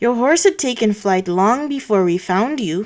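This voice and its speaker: In a very clean recording with a silent background, a woman does a husky put-on character voice at a fairly high pitch and a moderate pace. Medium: read story. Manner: gentle, kindly.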